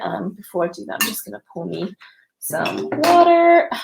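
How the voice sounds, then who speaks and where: A woman with a British accent on a very clean recording against a silent background. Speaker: fitness coach. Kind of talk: coaching talk.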